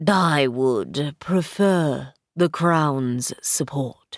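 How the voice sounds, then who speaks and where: A woman uses a put-on character voice with a very deep, low pitch. She speaks very slowly with ordinary pitch variation. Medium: read story. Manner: formal, haughty.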